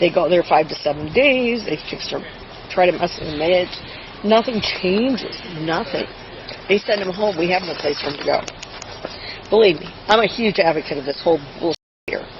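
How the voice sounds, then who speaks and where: A woman at medium pitch, with lively intonation, a moderate pace and long, frequent pauses over noticeable background noise. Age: 70s. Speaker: grandmother calling police, retired nurse. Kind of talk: police encounter, agitated account to officer. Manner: animated.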